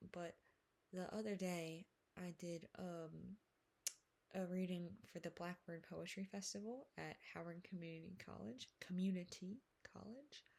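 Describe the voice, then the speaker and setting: Putting on a character voice, a woman mumbles at a moderate pace and medium pitch. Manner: mumbling.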